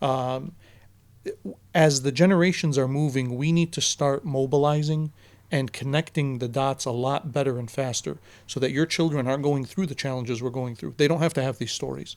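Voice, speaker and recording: A man with an Arabic accent at a moderate pace. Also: fairly high pitch for a man, fairly even intonation, very clean recording, silent background. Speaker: teacher. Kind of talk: casual podcast interview.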